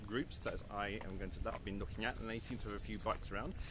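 A man's voice sounds dry with no echo, over noticeable background noise. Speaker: travel vlogger. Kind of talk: casual vlog chat. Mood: cheerful, laughing. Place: street. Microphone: phone near.

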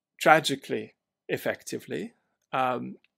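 A man speaks at a moderate speed with a quiet background. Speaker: remote podcast guest. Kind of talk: interview answer. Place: home room.

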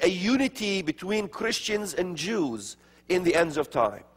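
Lively in intonation, a man talks at a fairly slow pace. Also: quiet background. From Middle East, Palestinian areas. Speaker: speaker on religion and prophecy; speaker. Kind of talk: lecture. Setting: stage with audience. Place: church. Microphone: lapel.

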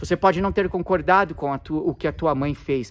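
A man talking at a moderate pace. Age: 40s. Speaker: therapist and Enneagram teacher; Enneagram teacher. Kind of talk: video monologue to camera. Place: garden. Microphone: phone near.

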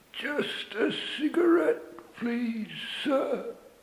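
A put-on character voice, high in pitch, with very wide pitch swings. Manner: throat closed, mouth barely open, tip of tongue only.

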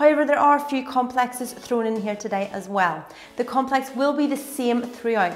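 Using ordinary pitch variation, a woman talks at a moderate pace. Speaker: fitness instructor. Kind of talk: tutorial. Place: home room.

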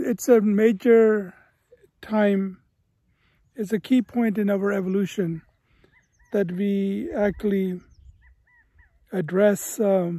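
A man with a high voice speaks with fairly even intonation and long, frequent pauses, recorded dry with no echo against a quiet background. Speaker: educator vlogger. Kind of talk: reflective vlog talk. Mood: calm, reflective. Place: open country. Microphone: phone near.

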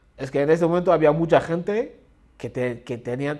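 A man with lively intonation. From Central African Republic. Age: 30s. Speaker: refugee. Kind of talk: testimony; interview answer. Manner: halting. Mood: earnest, reflective. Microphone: lapel.

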